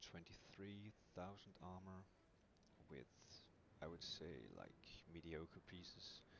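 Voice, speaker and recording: A quiet man with a very deep, low pitch, speaking at a very slow pace with long, frequent pauses. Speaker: video game streamer. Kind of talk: game build guide commentary. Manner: quiet, mellow.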